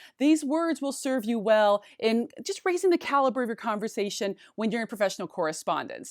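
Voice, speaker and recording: Animated in tone, a woman with a fairly high pitch swings her pitch very widely, speaking at a fairly quick pace with hardly any pauses on a very clean recording with a silent background. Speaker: high school English teacher. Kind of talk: tutorial. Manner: fast.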